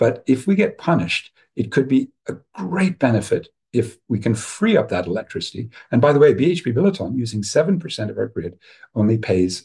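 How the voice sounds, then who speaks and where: With an American accent, a man talks at a fairly quick pace in a dark, mellow, somewhat breathy tone, his medium pitch swinging very widely. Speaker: professor and webinar speaker. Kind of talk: webinar talk. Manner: animated.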